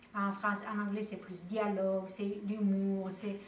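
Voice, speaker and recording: A woman speaks at a medium pitch and very slow pace in monotone, flat intonation. Noticeable background noise and audible room echo surround her. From Romania. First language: Romanian (speaking French). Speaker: novelist. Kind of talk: interview. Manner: warm, smiling; halting, with repetitions and fillers.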